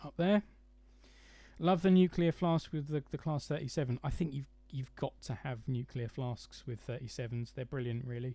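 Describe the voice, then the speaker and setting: With a southern English accent, this somewhat breathy voice has a dark, mellow tone, moves at a moderate pace and shows big swings in loudness. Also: man, medium pitch for a man, ordinary pitch variation. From London area, England. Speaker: model railway YouTuber. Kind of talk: live stream chat. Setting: live stream from home. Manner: hesitant, many fillers.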